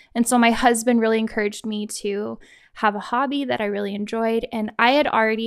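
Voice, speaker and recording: On a very clean recording with a silent background, a woman with an American accent uses an ordinary speaking voice, her fairly high pitch showing ordinary pitch variation. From Kansas. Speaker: photographer and teacher. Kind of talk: casual interview.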